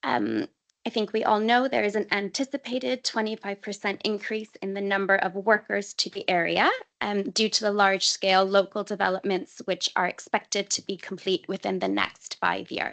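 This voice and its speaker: In a dry, close sound with no echo, a woman with an ordinary speaking voice talks at medium pitch and a moderate pace, her pitch varying in an ordinary way. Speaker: council transport officer. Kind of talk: committee presentation.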